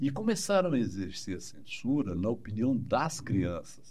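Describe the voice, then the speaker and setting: A man with a medium-pitched voice, a dark, mellow tone and vocal fry makes very wide pitch swings. Room echo is audible. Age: 60s. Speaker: psychologist. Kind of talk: interview. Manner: animated.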